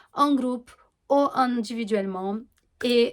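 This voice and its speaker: A woman with a Portuguese accent at a very slow pace, in a very clean recording with a silent background. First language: Portuguese (speaking French). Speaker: astrologer and holistic coach. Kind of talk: informal explanatory monologue to camera. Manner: hesitant, many fillers and self-corrections.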